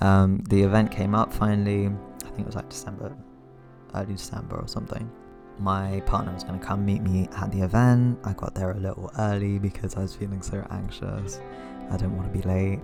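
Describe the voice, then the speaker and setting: Over music in the background, a man speaks at a fairly quick pace in a fairly low pitch with ordinary pitch variation. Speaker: cartoonist. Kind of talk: casual talk to camera. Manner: casual, hesitant.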